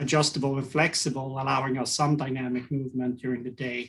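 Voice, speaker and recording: A Swedish accent with monotone, flat intonation. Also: man. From Sweden. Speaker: ergonomics consultant. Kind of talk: podcast interview.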